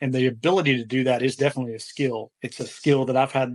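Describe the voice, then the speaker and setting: A man talks with a slight Southern US accent. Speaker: furniture flipper, business owner. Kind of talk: podcast interview. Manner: halting, many fillers.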